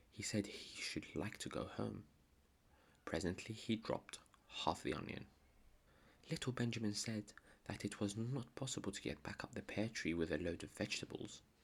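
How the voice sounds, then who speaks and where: The speaker is soft-spoken, with a calm tone and a moderate pace. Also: long, frequent pauses. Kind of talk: bedtime story reading. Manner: soft-spoken, calm.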